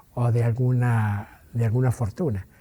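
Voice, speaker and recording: Pitched at a medium level with ordinary pitch variation, a man's voice moves at a fairly slow pace. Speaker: interviewee recounting family history. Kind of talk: interview testimony. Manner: hesitant, halting with filler words.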